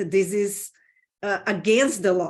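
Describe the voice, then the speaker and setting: A woman speaks with a Brazilian Portuguese accent at a medium pitch. Her intonation stays fairly even. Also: quiet background. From Brazil, Sao Paulo. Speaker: business consultant. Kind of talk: interview.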